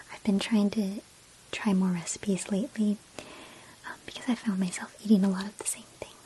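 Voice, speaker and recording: Soft-spoken and at a moderate pace, the voice comes through noticeable background noise. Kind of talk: ASMR personal attention role play. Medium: role play.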